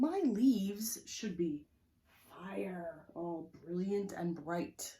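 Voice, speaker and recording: A woman's put-on character voice at medium pitch and a very slow pace. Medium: read story. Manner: earnest, storybook-like.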